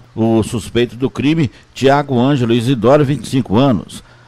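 This man has a normal speaking voice, medium in pitch, with ordinary pitch variation and a moderate pace. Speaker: crime news reporter. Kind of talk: police news report.

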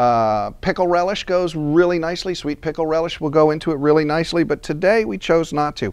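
Speaking at a fairly quick pace, a man is heard. Nothing disturbs the quiet background. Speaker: cooking demonstrator. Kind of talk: tutorial. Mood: relaxed, friendly. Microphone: lapel.

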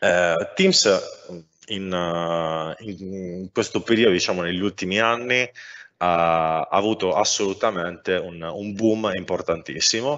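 This man's pitch is very deep and low, his pace very slow, and his pitch variation ordinary. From Sardinia, Cagliari. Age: 30s. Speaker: software architect. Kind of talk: technical talk. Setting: live stream. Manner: hesitant, many fillers.

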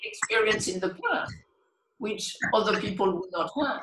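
Over noticeable background noise, a woman talks with a French accent. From France. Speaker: meditation teacher. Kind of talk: talk on meditation. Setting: video call. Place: home room. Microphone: video call.

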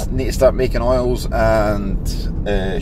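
There is noticeable background noise behind this man's voice, though the sound itself is dry with no echo. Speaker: small business owner vlogger. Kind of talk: casual vlog chat. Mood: relaxed and cheerful. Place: car. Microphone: phone near.

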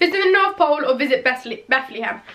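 Speaking with an English accent at a very fast pace, this raised, projected voice has lively intonation over light background noise. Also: woman. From England. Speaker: beauty and lifestyle vlogger. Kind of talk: casual vlog talk. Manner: chatty with many fillers. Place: home room.

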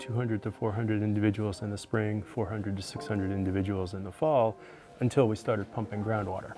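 A fairly low-pitched man at a moderate pace, with clear music in the background. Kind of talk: interview answer. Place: open country. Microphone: lapel.

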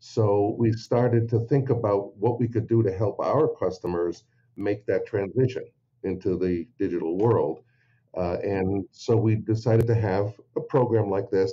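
Moderately paced, somewhat breathy speech with ordinary variation in pitch. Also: man. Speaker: dental industry marketing manager. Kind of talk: interview.

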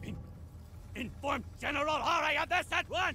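Using a cartoonish character voice, a man speaks at an extremely high pitch with a bright, sharp tone, ordinary pitch variation and a moderate pace.

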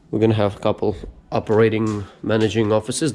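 The man's delivery moves at a fairly quick pace. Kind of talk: casual vlog tour. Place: hall. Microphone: phone near.

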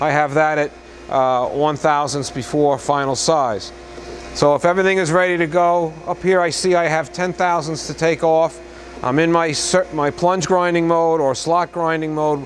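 A man speaks at a moderate pace with fairly even intonation and very even loudness. Light background noise can be heard. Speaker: machine demonstrator. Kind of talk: tutorial. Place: workshop. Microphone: camera far.

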